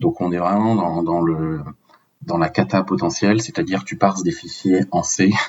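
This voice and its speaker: Ordinary pitch variation from a man with a very deep, low voice. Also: moderate pace. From France, Paris. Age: 30s. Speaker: open source software project lead. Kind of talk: technical podcast interview.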